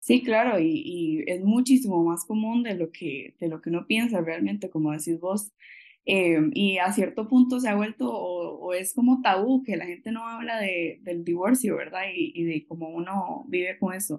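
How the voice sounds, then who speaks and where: With a Costa Rican accent, a woman at medium pitch speaks at a moderate pace with lively intonation and hardly any pauses. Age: 20s. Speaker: occupational therapy graduate. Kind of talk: interview conversation.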